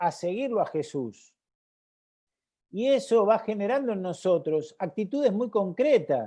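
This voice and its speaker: Against a quiet background, someone talks very slowly. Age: 60s. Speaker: catechesis trainer. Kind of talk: webinar presentation. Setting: live online broadcast.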